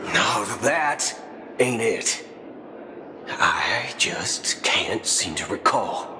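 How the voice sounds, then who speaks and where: A man whispering very slowly in a cartoonish character voice, with loud background noise. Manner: folksy drawl, slangy.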